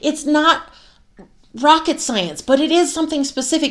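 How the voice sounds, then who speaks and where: A loud, animated woman with an American accent at a moderate pace, in a very clean recording with a silent background. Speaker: self-help coach and podcast host. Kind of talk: motivational monologue with course pitch.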